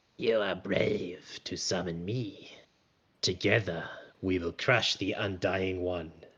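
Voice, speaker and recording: A man puts on a character voice, very deep and low in pitch with a rumbling quality. He speaks at a fairly slow pace. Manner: booming, ominous.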